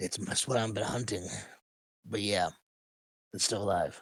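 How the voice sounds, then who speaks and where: Here a man puts on a character voice, raspy and fairly low-pitched. He keeps a moderate pace. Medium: actual play.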